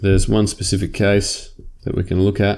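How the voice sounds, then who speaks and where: A man's very deep, low voice with an Australian accent, fairly even intonation and a moderate pace. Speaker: maths teacher. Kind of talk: lecture. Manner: casual, with fillers.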